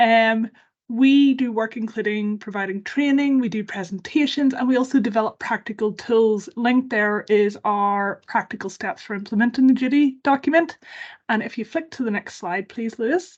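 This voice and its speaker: A woman speaks in a Northern Irish accent at a fairly high pitch. Her pitch varies in an ordinary way over a quiet background. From Northern Ireland. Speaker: campaign organisation worker. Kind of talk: webinar presentation. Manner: fast.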